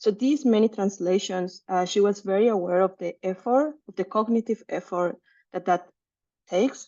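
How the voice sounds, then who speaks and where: A woman with a Spanish accent speaks at a moderate pace and medium pitch, with ordinary pitch variation. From Mexico City, Mexico. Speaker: researcher. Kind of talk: seminar talk. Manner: halting, many fillers.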